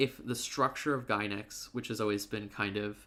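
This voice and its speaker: A man speaks at a fairly quick pace with ordinary pitch variation. His medium-pitched voice has a bright, sharp tone. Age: 30s. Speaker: anime commentator streamer. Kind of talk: livestream monologue. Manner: fast; hesitant, many filler words.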